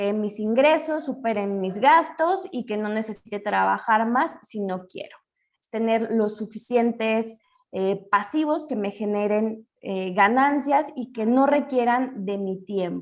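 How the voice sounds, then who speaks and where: Fairly high in pitch, a woman speaks with lively intonation at a very slow pace. Her loudness swings widely. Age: 30s. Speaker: financial educator. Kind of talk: webinar lecture.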